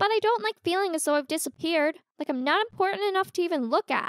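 An extremely high, female-sounding put-on character voice, upbeat in tone, at a very fast pace. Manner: upbeat, excitable.

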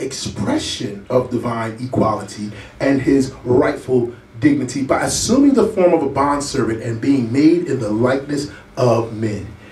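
Audible room echo surrounds a man talking at a moderate pace. His pitch varies in an ordinary way. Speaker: preacher. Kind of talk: sermon scripture reading. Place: church. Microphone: camera far.

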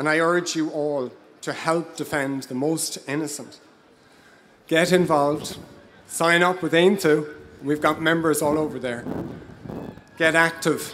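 In an Irish accent, a man talks at a fairly slow pace with long, frequent pauses and monotone, flat intonation over light background noise. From Ireland (Dublin area). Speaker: local councillor. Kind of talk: impassioned pro-life rally speech from notes. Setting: outdoor rally stage before a crowd. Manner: earnest, slightly halting with 'um' and 'uh' fillers; rousing call-to-action, emphatic repetition. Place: stage. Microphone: handheld.

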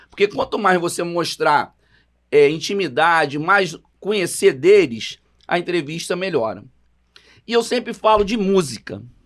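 Against a quiet background, a man with a high pitch and lively intonation speaks at a fairly slow pace with long, frequent pauses. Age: 50s. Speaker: samba composer, podcast co-host; podcast co-host. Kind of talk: casual chat. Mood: relaxed, convivial. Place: studio. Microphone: studio mic.

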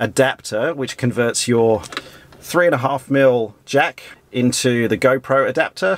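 Pitch shifts in an ordinary way as a man talks fairly slowly. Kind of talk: tutorial. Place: plane. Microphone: phone near.

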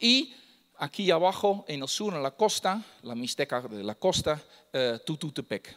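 With a Dutch accent, the speaker's pitch swings very widely over a quiet background. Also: man. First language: Dutch (speaking Spanish). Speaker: lecturer on Mixtec codices. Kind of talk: lecture. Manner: halting, many fillers. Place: hall.

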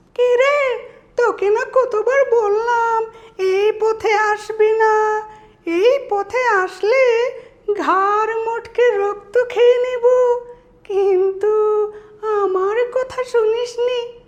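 At a very slow pace, a man uses an extremely high, put-on character voice. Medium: voice reel.

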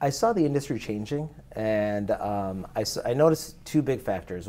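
His voice has a dark, mellow tone, a medium pitch and ordinary pitch variation. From India. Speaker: business services company owner; interview guest. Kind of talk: casual interview. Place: studio. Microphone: lapel.

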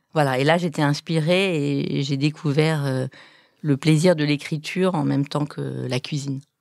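Recorded very cleanly with a silent background, a woman speaks at a very deep, low pitch with fairly even intonation. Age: 50s. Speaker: food blogger and cookbook author. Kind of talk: casual chat. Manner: hesitant, many fillers.

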